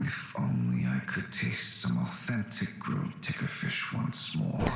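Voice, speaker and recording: Putting on a character voice, a man talks at a fairly slow pace. There is a slight echo. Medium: virtual streamer. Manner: soft, melancholy.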